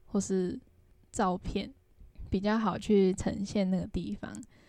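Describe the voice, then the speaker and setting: A woman with a Taiwanese accent speaks very slowly at a medium pitch, her dark, mellow tone carrying fairly even intonation on a very clean recording with a silent background. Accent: Taiwanese Mandarin. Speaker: travel podcast co-host and travel blogger. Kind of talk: casual chat.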